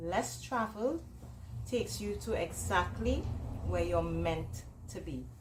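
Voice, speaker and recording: Speaking fairly slowly with a Trinidadian accent, a woman comes through audible room echo and noticeable background noise. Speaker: entrepreneur and author. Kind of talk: motivational presentation.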